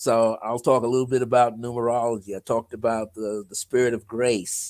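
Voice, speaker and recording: In a plain, everyday voice, a man of medium pitch talks at a fairly quick pace on a very clean recording with a silent background. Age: 60s. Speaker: numerologist and author. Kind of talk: casual interview chat.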